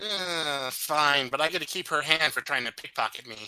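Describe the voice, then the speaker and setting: A man puts on a character voice at a fairly high pitch for a male, speaking at a moderate pace. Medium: actual play. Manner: haggling, self-justifying.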